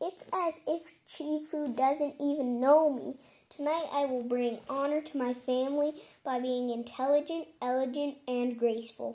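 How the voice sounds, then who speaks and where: A woman puts on a character voice at a high pitch and a moderate pace. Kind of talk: bedtime story. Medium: read story. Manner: eager, spirited.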